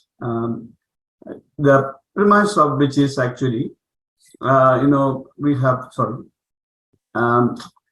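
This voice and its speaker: At a very slow pace with long, frequent pauses, a man at medium pitch speaks with ordinary pitch variation. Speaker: priest presenting research. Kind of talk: academic presentation. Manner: halting, many fillers.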